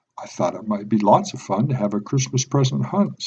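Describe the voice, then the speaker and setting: A man in a put-on character voice, medium in pitch, at a fairly quick pace. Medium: read story. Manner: playful, teasing.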